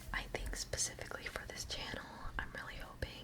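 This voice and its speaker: A woman whispers over noticeable background noise. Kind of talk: ASMR whispered ramble / Q&A.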